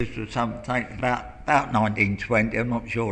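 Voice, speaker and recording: In a monotone, flat intonation, a man with medium pitch and vocal fry talks at a moderate pace. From southeast London. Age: 70s. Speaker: local resident. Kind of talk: oral history interview. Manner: halting.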